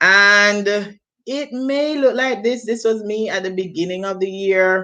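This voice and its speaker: Lively intonation marks this woman's medium-pitched voice, which has a bright, sharp tone. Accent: Jamaican. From Jamaica. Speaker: teacher. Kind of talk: training presentation. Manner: self-correcting.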